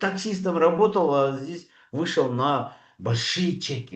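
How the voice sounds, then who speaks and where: The intonation rises and falls in a lively way. The background is quiet. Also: man. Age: 60s. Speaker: doctor speaking at a network marketing training. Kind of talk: sales pitch. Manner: hesitant, many filler sounds.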